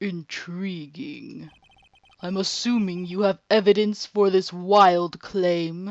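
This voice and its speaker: A put-on character voice sits at a middle pitch. It moves at a very slow pace. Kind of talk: formal. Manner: intrigued, haughty.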